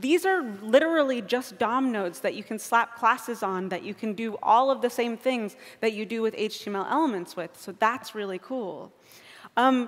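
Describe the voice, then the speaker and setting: A woman at a moderate pace, with lively intonation, big swings in loudness, and a quiet background. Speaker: conference speaker. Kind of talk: lecture. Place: stage.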